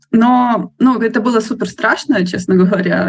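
Noticeable background noise behind a woman's voice, its pitch varying in an ordinary way. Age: 20s. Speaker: book blogger, nonprofit worker. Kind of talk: casual chat.

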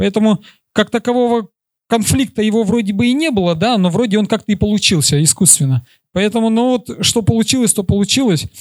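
At a fairly quick pace, a man with a high pitch keeps his loudness very even, with ordinary pitch variation in a dry, close sound with no echo. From Kyrgyzstan. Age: 30s. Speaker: marathon runner. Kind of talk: conference talk and Q&A.

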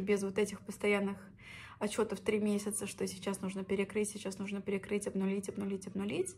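The delivery is monotone and flat, somewhat breathy, and moves at a fairly quick pace. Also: woman. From Russia, Orenburg region (Orsk). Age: 20s. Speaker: podcaster, former teacher. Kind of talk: personal story monologue.

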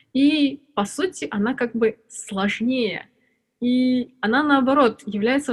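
A somewhat breathy woman's voice. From Armenia, Yerevan. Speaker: UX researcher and lecturer. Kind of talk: casual interview.

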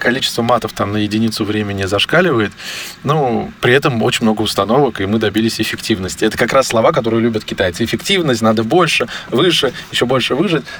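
Very fast and very even in loudness, a man speaks at a medium pitch with ordinary pitch variation. Noticeable background noise sits behind him. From Armenian roots, raised culturally in Russia. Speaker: digital agency executive. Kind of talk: interview.

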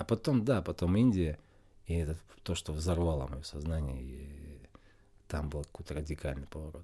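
A man's very deep, low voice with a dark, mellow tone, somewhat breathy, at a moderate pace with ordinary pitch variation and long, frequent pauses. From Russia. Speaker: spiritual game master and yoga teacher. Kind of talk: interview.

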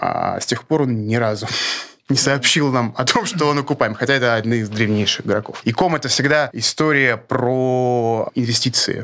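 This man has a plain, everyday voice, speaking at a moderate pace and medium pitch with fairly even intonation and very even loudness. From Russia (born in Grozny). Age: 40s. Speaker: e-commerce market researcher, company co-founder. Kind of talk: interview.

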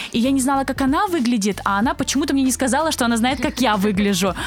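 Music plays behind a woman as she talks. Her pitch varies in an ordinary way. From southern Russia, Krasnodar Krai. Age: 20s. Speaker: agency co-founder. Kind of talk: interview.

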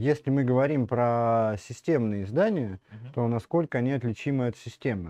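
A man talks fairly quickly at a medium pitch with ordinary pitch variation. The background is quiet. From Russia, Smolensk. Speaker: media editor-in-chief. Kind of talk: interview, casual chat. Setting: livestream. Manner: halting, many fillers.

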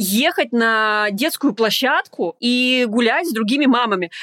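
Speaking at a very slow pace, a woman uses a high pitch and lively intonation, with a dry, close sound and no echo. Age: 30s. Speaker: coach and psychologist. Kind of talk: casual chat.

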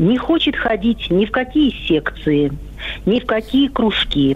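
A woman speaks at a fairly slow pace with a fairly high pitch and very wide pitch swings. Noticeable background noise runs behind her. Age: old. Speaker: caller, grandmother. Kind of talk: phone-in question. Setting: phone call.

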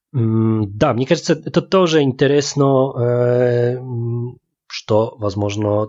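In a Polish accent, the speaker goes at a very slow pace with ordinary pitch variation. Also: man. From Łódź, Poland. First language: Polish (speaking Russian). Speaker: podcast co-host. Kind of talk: casual chat. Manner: halting, mixing Polish and Russian.

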